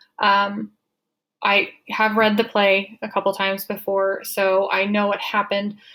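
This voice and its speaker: Her loudness very even, a woman speaks with monotone, flat intonation. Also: medium pitch for a woman. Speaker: graduate student presenter. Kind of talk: recorded class presentation. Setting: screen recording at a computer. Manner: hesitant, many ums and uhs.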